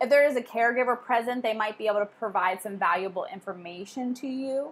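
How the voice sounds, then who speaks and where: Talking at a very fast pace, a woman with a fairly high pitch and ordinary pitch variation is heard on a very clean recording with a silent background. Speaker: college instructor. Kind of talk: lecture.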